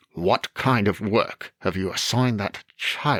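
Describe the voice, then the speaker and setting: A man growls in a put-on character voice. His pitch is fairly low. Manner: disapproving.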